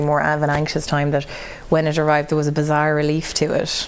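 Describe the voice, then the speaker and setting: A woman at a very deep, low pitch and a fairly quick pace over noticeable background noise. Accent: Irish. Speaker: news reporter. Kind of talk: interview.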